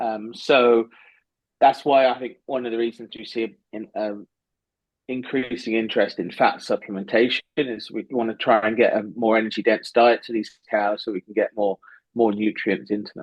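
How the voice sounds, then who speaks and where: This man has a medium pitch and an English accent. His intonation stays fairly even. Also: moderate pace, big swings in loudness. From southwest England. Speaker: animal science professor. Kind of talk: podcast interview.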